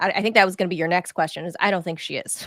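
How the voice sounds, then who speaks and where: Someone with a Southern US accent is heard on a very clean recording with a silent background. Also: woman, dry, close sound with no echo. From California. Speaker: journalist and show host. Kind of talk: political interview chat.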